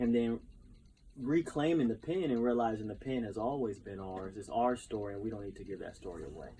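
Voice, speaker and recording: This man has a medium pitch, a dark, mellow tone and an American accent. He talks at a fairly quick pace with big swings in loudness. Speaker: professional speaker, poet and educator. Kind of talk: interview answer.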